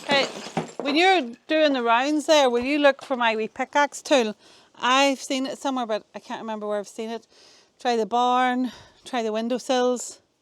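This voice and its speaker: Mumbling at a moderate pace, a woman with a Northern Irish accent speaks at a high pitch. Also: ordinary pitch variation, dry, close sound with no echo. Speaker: vlogger renovating a cottage. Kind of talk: casual vlog narration. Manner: soft, not projected.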